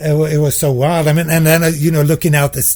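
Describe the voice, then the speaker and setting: Fairly quick and somewhat breathy, a man speaks at a fairly high pitch with monotone, flat intonation. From Sweden. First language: Swedish. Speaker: composer and professor. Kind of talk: casual interview chat.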